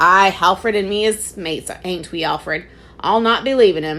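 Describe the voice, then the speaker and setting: A woman's raspy put-on character voice at a medium pitch and moderate pace. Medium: read story. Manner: rough dialect, dropped h's.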